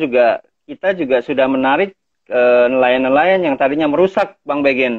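Against a quiet background, a man speaks at a moderate pace in a fairly high pitch with ordinary pitch variation. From Thousand Islands, Jakarta; Jakarta. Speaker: community conservation leader. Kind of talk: casual interview. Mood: friendly, relaxed. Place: home room. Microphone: video call.

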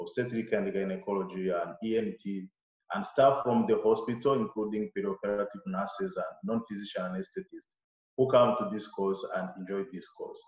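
A man speaks against a quiet background, with audible echo from the room. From Rwanda. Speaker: surgeon and lecturer; lecturer. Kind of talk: lecture. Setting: video call. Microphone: webcam.

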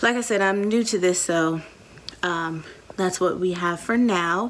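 Ordinary pitch variation in a woman's speech. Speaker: teacher, new vlogger. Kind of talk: casual vlog chat. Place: home room. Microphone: phone near.

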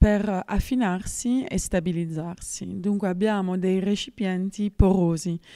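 A woman with a dark, mellow tone speaks at a medium pitch with fairly even intonation against a quiet background. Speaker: winemaker. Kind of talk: interview answer. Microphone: handheld.

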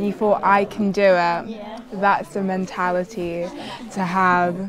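The speaker has a British accent and a monotone, flat intonation at a very slow pace. Noticeable background noise runs underneath. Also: woman, medium pitch for a woman. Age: young. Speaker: medical student. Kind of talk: documentary interview answer.

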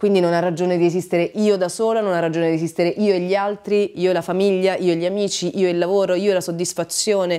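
Against a quiet background, a woman rushes at a very fast pace with hardly any pauses, her medium-pitched voice dark and mellow in monotone, flat intonation. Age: 40s. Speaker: writer and radio presenter; radio presenter. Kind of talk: casual interview chat. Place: home room.

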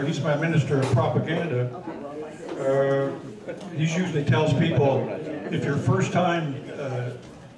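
Amid noticeable background noise and audible room echo, a man speaks at a fairly slow pace with long, frequent pauses. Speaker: history club host. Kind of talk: club meeting introduction. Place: meeting room.

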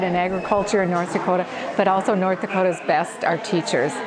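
A woman talks at a fairly quick pace. Noticeable background noise is present. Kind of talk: interview answer. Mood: cheerful, enthusiastic. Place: farm machine. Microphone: lapel.

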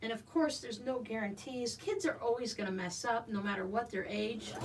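A fairly quick pace over light background noise. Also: woman. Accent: American. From US Southwest (Arizona). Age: 50s. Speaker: quilting YouTuber. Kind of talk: casual livestream chat and sewing tutorial. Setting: home sewing room livestream. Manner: chatty. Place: home room.

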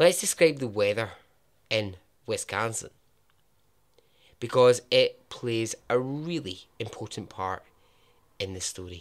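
A man with a Scottish accent speaks fairly slowly at a medium pitch with lively intonation. His loudness swings widely, and he takes long, frequent pauses. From Scotland. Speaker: podcast host, storyteller. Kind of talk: casual storytelling narration.

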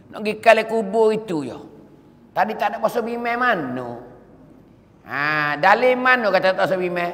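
In a Patani accent, a man with a high-pitched voice speaks at a moderate pace with lively intonation and long, frequent pauses. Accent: Patani Malay (Kelantan-Patani dialect). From southern Thailand. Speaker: Islamic preacher. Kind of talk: sermon. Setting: mosque. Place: church. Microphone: podium.

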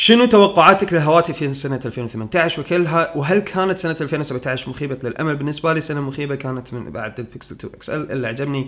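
At a fairly quick pace, a man with a fairly high pitch talks with ordinary pitch variation and big swings in loudness. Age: 30s. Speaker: tech YouTuber. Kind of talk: Q&A answering viewer questions. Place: home room.

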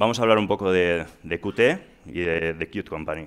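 With ordinary pitch variation, a man talks at a fairly slow pace in a very deep, low pitch. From Spain, Asturias (Gijón); Asturias, Spain. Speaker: software engineer; presenter. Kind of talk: conference talk. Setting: stage with audience. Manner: halting. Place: hall. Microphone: headset.

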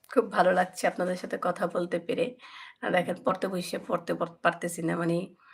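A woman's somewhat breathy, fairly low voice with fairly even intonation, on a very clean recording with a silent background. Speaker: cooking YouTuber. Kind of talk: live stream chat with viewers. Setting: home guest room.

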